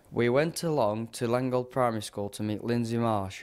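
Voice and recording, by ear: A man speaks at a moderate pace with ordinary pitch variation. His tone is clear and smooth, and slightly mellow.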